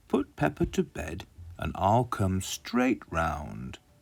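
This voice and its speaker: A man's put-on character voice, calm in tone, very deep and low in pitch, at a very slow pace. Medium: read story. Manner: calm, kindly.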